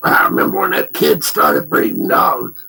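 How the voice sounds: A man does a put-on character voice that sounds raspy. He speaks at a moderate pace.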